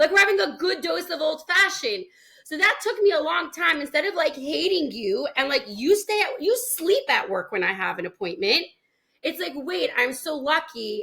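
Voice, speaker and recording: A woman's raised, projected voice, animated, with a bright, sharp tone and very wide pitch swings. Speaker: parenting coach. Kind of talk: podcast interview. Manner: loud.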